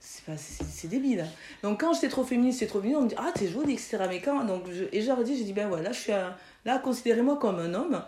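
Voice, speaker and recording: A woman talks at a fairly quick pace in a fairly high voice, her pitch swinging very widely. Audible room echo surrounds her. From France, Toulouse (Mirail), Chadian parents. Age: 40s. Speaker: physiotherapist. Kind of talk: interview.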